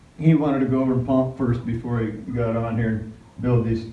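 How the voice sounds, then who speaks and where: A man is speaking. The room echo is audible. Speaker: family man vlogger. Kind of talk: casual vlog chat. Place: gym. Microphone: phone near.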